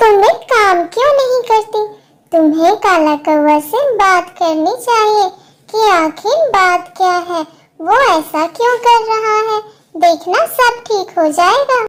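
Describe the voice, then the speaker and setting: A woman uses a cartoonish character voice that is squeaky and extremely high-pitched. She speaks at a fairly slow pace. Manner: warm, sisterly.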